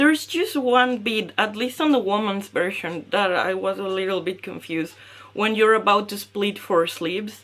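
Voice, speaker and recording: The speaker is a woman with a fairly high pitch. Her pitch varies in an ordinary way. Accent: Spanish. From Mexico. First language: Spanish. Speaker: knitting podcaster. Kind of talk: casual podcast talk. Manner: hesitant with fillers.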